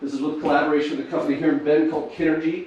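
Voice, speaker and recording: Over noticeable background noise and audible room echo, a man speaks very fast at a fairly high pitch with fairly even intonation. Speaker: startup founder. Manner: fluent, no filler words.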